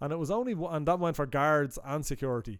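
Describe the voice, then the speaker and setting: A man talks with an Irish accent. His pitch is fairly high. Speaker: podcast co-host. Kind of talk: casual chat.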